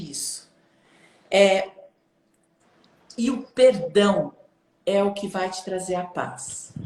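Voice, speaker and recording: This is a woman's voice. It carries a somewhat breathy quality. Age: 60s. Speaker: self-development coach. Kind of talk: casual chat.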